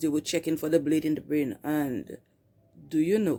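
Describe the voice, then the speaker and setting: In a fairly low voice, a woman speaks with a dark, mellow tone. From Saint Lucia. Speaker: YouTuber sharing faith testimony. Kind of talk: testimony.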